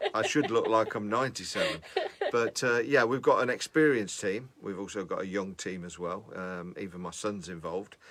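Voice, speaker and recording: A man speaks at a fairly quick pace with a fairly low pitch and an unremarkable speaking voice. His pitch variation is ordinary, while his loudness swings widely. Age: 50s. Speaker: music producer. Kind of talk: casual chat.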